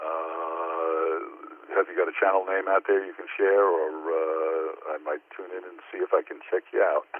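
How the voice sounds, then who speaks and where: A man at a fairly slow pace with hardly any pauses, big swings in loudness, and noticeable background noise. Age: 70s. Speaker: amateur radio operator. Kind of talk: ham radio contact conversation. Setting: phone via Echo Link. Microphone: phone line, battery dying.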